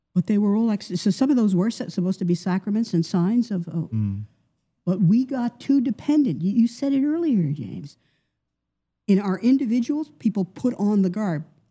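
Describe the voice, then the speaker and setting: This woman has an American accent and a medium pitch, with a dark, mellow, somewhat breathy tone. She talks at a moderate pace with lively intonation. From US Northeast, New York. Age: 70s. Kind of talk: interview.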